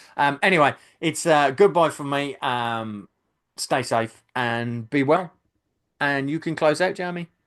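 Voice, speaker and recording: This man has a Birmingham accent and a fairly high voice with ordinary pitch variation. He talks at a fairly slow pace against a quiet background. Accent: Brummie. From Birmingham, England. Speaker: YouTube channel host, film fan. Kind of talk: casual podcast chat. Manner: hesitant, many fillers.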